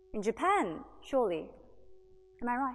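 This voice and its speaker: This voice has an Australian accent. It belongs to a woman. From Australia (Sydney). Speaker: singer and violinist. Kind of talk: public talk. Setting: stage with audience. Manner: animated.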